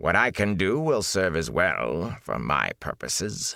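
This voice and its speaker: Putting on a character voice, a man speaks very deep and low at a fairly slow pace, with very wide pitch swings. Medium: read story. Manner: scornful, arrogant.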